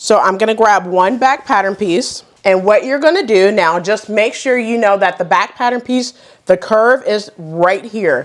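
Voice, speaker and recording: At a fairly slow pace, a woman with a fairly high pitch speaks with ordinary pitch variation and hardly any pauses. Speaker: sewing YouTuber. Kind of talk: tutorial.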